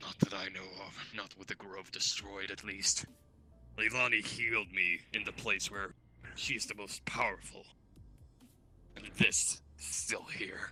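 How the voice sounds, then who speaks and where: With music in the background, a man in a put-on character voice at a fairly low pitch speaks at a fairly slow pace, with long, frequent pauses and big swings in loudness. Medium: game stream. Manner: terse, low-key.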